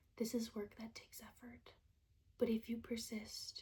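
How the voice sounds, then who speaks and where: The speaker is whispering. The pace is moderate. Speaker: ASMR creator. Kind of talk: poetry reading. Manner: whispered.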